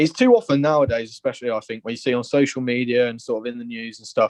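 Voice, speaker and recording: Dry and close with no echo, a man's medium-pitched voice goes by at a very fast pace with fairly even intonation. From Liverpool, England. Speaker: football fan caller. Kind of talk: phone-in opinion. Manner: passionate.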